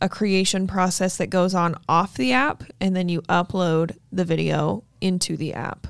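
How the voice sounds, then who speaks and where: An unremarkable speaking voice in an American accent, with ordinary pitch variation and a fairly slow pace. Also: woman, very clean recording, silent background. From Utah. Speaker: realtor and podcast host. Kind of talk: casual chat. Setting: studio.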